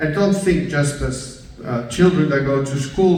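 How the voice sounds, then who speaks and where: At a fairly slow pace, a man with a medium pitch and ordinary pitch variation is heard amid noticeable background noise and audible room echo. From Spain (Basque Country / Galicia). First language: Basque and Galician. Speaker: professor. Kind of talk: keynote speech. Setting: stage with audience. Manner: hesitant, many fillers.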